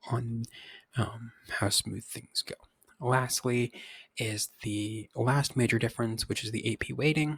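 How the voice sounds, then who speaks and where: In a very clean recording with a silent background, a man speaks at a medium pitch with ordinary pitch variation, his somewhat breathy voice captured dry and close with no echo. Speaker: high school physics teacher. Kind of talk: recorded course overview. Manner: halting, many fillers.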